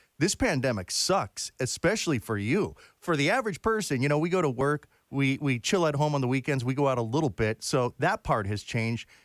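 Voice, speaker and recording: A man's medium-pitched voice, a normal speaking voice, with lively intonation at a fairly quick pace, dry and close with no echo on a very clean recording with a silent background. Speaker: interviewer. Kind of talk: interview question.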